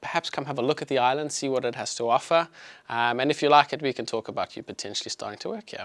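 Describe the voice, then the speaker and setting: Speaking very fast with a South African accent, a man with fairly high pitch and ordinary pitch variation sounds dry and close with no echo on a very clean recording with a silent background. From South Africa, Johannesburg. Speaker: chiropractor. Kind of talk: health talk to live audience. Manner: casual, filler-heavy.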